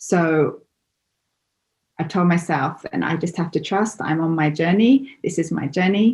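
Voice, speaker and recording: A somewhat breathy woman with an English accent, at a fairly low pitch and fairly slow pace, ordinary pitch variation and long, frequent pauses. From England. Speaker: interview guest. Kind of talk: interview. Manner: halting.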